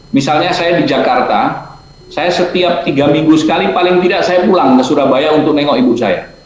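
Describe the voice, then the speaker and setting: At a moderate pace, a man speaks at a high pitch amid noticeable background noise and audible room echo. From Gorontalo, Indonesia. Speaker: alumnus speaker, businessman. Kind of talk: webinar talk.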